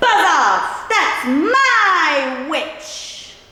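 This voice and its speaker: A woman puts on a character voice, squeaky and croaky with growling, at an extremely high pitch. Her pitch swings very widely, and there is a strong echo. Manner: defiant, gruff.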